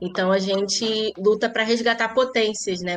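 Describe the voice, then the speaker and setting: A woman talks at a moderate pace in a Rio de Janeiro accent, her pitch fairly high. Her intonation stays fairly even while music plays in the background. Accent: carioca (Rio de Janeiro). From Rio de Janeiro, Zona Norte (Irajá). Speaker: lawyer and social manager. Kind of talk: interview.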